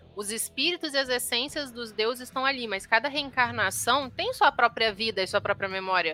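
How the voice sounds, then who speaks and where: Over background music, the speaker keeps a moderate pace with lively intonation and hardly any pauses. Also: woman, high pitch for a woman. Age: 20s. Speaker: podcast co-host. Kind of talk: casual chat. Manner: animated.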